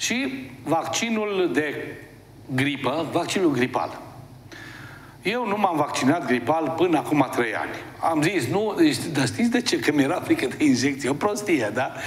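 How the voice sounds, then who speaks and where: A man's fairly high-pitched voice with lively intonation, amid audible room echo and noticeable background noise. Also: fairly slow pace. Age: 60s. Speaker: TV host and therapist. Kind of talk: TV talk monologue. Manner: conversational, animated.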